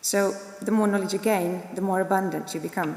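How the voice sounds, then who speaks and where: Recorded with audible room echo and noticeable background noise, a woman talks with a non-native accent. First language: not English. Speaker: graduate giving student speech. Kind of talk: ceremonial speech. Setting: graduation ceremony in a concert hall. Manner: formal.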